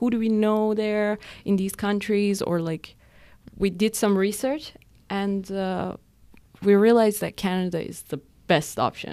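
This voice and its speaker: A woman with a Persian accent speaks at a medium pitch on a very clean recording with a silent background. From Iran. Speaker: podcast co-host. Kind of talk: casual chat.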